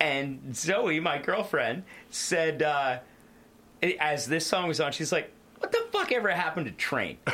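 A man's fairly high-pitched voice at a fairly slow pace, over noticeable background noise. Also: ordinary pitch variation. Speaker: podcast host. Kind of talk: casual banter, music review podcast.

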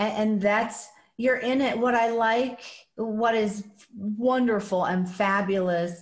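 Somewhat breathy, the woman's voice moves along very slowly. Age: 40s. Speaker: podcast host. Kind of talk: podcast interview. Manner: animated.

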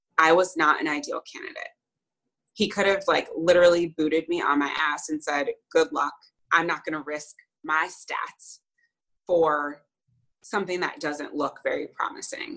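Pausing long and often, a woman with an American accent talks at a moderate pace. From New Jersey / New York area, US. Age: 30s. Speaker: podcast guest sharing fertility journey. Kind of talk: interview, personal story.

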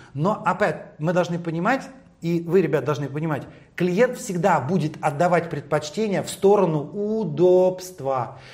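A man speaks at a moderate pace in a high voice. His tone is animated, with lively intonation. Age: 50s. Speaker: hairdresser and stylist. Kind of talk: interview.

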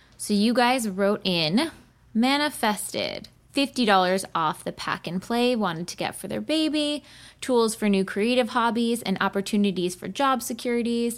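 A woman with an unremarkable speaking voice talks at a moderate pace and fairly high pitch with ordinary variation, on a very clean recording with a silent background. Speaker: podcast host.

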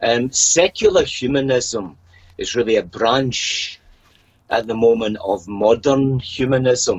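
At a very slow pace, a man with a Scottish accent speaks at a medium pitch with ordinary pitch variation. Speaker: podcast guest. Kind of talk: casual interview chat.

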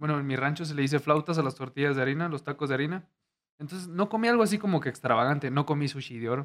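A man's fairly high voice rushes along at a very fast clip, its pitch rising and falling in an ordinary way. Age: 20s. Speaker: YouTuber. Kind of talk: casual chat.

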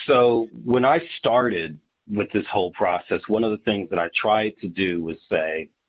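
A man with an American accent speaks fairly slowly in an unremarkable speaking voice with a fairly low pitch. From Ohio (Dayton). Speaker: startup attorney and app founder. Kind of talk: casual interview.

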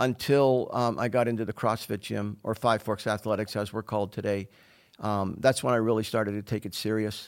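A man with a plain, everyday voice and an American accent, fairly low in pitch, fairly quick in pace, fairly even in intonation, on a very clean recording with a silent background. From Pittsburgh, Pennsylvania. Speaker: fitness coach. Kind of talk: interview conversation.

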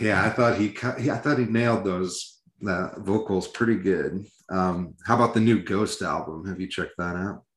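This man has an ordinary speaking voice with an American accent. He talks at a moderate pace, with fairly low pitch and fairly even intonation. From Iowa. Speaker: metal podcast co-host. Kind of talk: casual chat.

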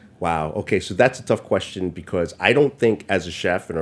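A man with a New York accent speaks at a moderate pace in a very deep, low voice. The recording is very clean, with a silent background. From New York City, Chinatown and Brooklyn. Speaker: chef and restaurant owner. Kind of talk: casual interview chat. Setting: studio.

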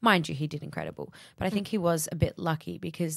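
A woman's voice with vocal fry at a very fast pace. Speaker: podcast host. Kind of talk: casual chat. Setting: studio.

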